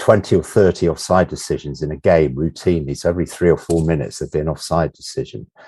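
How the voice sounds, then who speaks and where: Here a man with an English accent talks at a fairly quick pace in a very deep, low pitch with ordinary pitch variation. His tone is dark and mellow, with vocal fry. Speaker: sports journalist and author. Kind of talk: football history discussion. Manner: halting, many repetitions and fillers.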